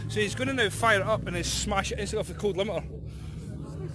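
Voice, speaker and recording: Against noticeable background noise, a man with a Scottish accent talks at a very fast pace. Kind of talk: casual livestream commentary at a car meet.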